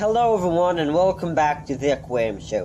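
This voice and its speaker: The speaker has a non-native accent and lively intonation. The tone is dark and mellow. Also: man. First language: not English. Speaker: aquarium hobbyist youtuber. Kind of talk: casual video update. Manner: halting, many ums; slow.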